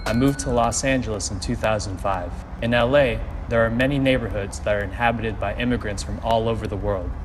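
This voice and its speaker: With music in the background and audible room echo, a man with an American accent speaks at a very fast pace. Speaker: narrator. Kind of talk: scripted narration.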